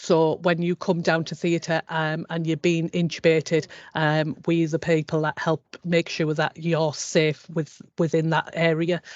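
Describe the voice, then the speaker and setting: The pace is fairly slow. There are hardly any pauses. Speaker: operating department practitioner. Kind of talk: presentation in careers webinar. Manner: hesitant, many fillers.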